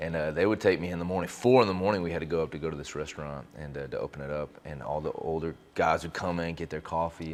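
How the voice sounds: The speaker talks fast with an American accent. The intonation stays fairly even. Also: man.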